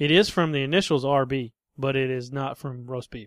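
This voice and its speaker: Against a quiet background, a man talks at a moderate pace at a medium pitch with ordinary pitch variation, in a dry, close sound with no echo. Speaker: podcast host. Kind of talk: casual chat.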